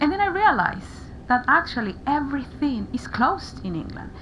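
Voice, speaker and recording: A woman speaks with a Spanish accent. She keeps a moderate pace. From Paraguay. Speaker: interviewee sharing mental health experience. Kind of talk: radio interview. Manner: halting, frequent repetitions.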